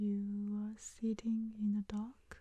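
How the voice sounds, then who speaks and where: A woman speaks very slowly at a medium pitch, her dark, mellow, soothing tone held in a monotone, flat intonation. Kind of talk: ASMR comfort talk.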